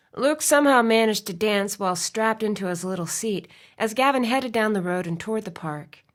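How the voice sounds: Just a natural reading voice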